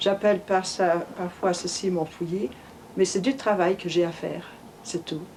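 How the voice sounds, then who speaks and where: Speaking at a fairly slow pace, a woman with a medium-pitched voice keeps her intonation fairly even over noticeable background noise. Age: 70s. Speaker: amateur genealogist. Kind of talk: interview in documentary report.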